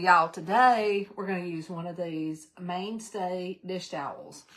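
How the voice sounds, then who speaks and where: Talking at a fairly slow pace, a woman speaks with a Southern US accent. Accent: US South. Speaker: crafting channel host. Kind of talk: live craft tutorial stream. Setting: live stream. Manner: animated; loud.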